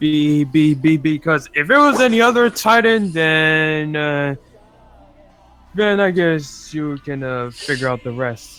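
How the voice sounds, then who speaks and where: Music plays in the background as a man speaks at a very slow pace. His fairly high voice carries lively intonation. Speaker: anime fan panelist. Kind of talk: casual chat. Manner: halting, many fillers.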